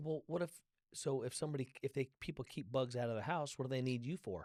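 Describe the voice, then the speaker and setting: A man at a very fast pace, medium in pitch with ordinary variation, in a dry, close sound with no echo. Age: 60s. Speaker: podcast host and author. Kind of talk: casual interview chat.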